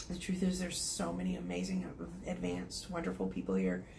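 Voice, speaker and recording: A woman with an American accent, audible room echo around her voice. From Oklahoma, US. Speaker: psychic medium and energy healer. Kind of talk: channeling session. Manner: hesitant, many fillers.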